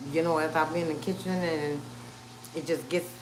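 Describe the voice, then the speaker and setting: Room echo is audible around a woman with a New Orleans accent. Her pitch is very deep and low. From New Orleans, Louisiana. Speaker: cooking channel host, live streamer. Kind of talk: casual livestream health update. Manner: halting, many fillers.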